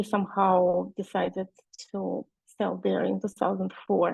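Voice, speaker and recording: A woman speaking at a moderate pace in a Russian accent. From Russia, Nizhny Novgorod. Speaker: e-commerce seller. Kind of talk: webinar presentation. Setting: video call webinar. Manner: halting, many fillers.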